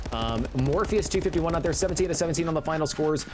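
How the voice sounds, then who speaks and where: Over noticeable background noise, a man rushes through his words at a very fast pace. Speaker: esports commentator. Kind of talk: live commentary. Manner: animated.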